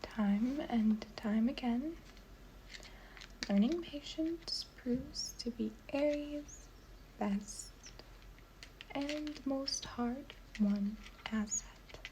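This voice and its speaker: The speaker is soft-spoken and talks very slowly, with long, frequent pauses. Noticeable background noise is present. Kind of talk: reading aloud from a website.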